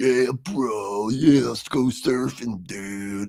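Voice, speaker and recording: In a put-on character voice with an American accent, a man talks at a very slow pace and a medium pitch. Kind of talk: slangy casual. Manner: mocking, laid-back.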